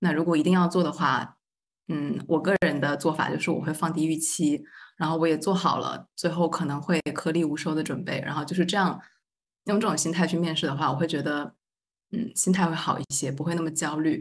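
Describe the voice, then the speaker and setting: A woman with an ordinary speaking voice talks at a fairly quick pace in a fairly low pitch, with fairly even intonation. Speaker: graduate student. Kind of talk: roundtable discussion.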